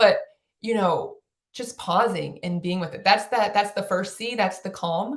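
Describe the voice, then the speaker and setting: Animated in tone, a woman speaks at a medium pitch, somewhat breathy, with big swings in loudness. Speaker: play advocate and author. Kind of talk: podcast interview. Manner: fast.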